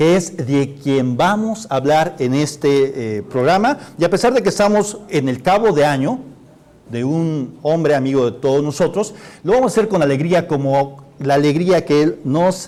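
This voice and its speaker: At a fairly slow pace, a man with a plain, everyday voice speaks with lively intonation and a fairly high pitch. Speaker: TV show host. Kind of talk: live TV political humor show hosting.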